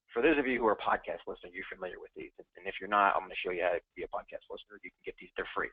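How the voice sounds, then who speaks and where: A man talking at a very fast clip. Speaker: former government contracting officer, trainer. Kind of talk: webinar presentation. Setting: online webinar.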